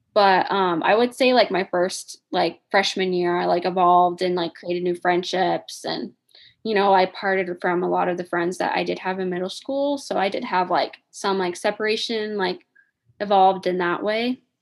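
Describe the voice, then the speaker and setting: The speaker has a Midwestern American accent, ordinary pitch variation and a moderate pace. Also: woman, medium pitch for a woman. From Indiana. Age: 20s. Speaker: podcast co-host. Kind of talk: casual chat.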